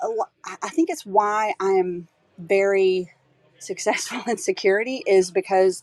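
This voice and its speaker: Very slow speech from a woman, dry and close with no echo. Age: 50s. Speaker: security advisor. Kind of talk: fireside chat interview, storytelling. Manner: reflective, hesitant with fillers.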